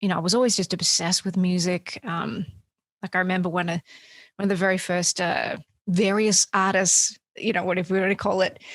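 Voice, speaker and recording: A woman with an Australian accent, medium pitch, a fairly quick pace and monotone, flat intonation, in a very clean recording with a silent background and a dry, close sound with no echo. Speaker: singer-songwriter. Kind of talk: interview.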